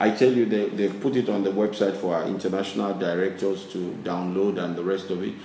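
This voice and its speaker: Amid audible room echo and noticeable background noise, a man with a fairly low pitch talks fairly quickly with hardly any pauses and fairly even intonation. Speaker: business chairman. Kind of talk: interview. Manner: halting.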